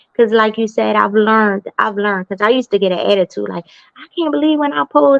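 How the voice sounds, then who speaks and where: A woman's fairly high voice, very fast, with lively intonation. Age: 40s. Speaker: podcast host. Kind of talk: casual interview chat.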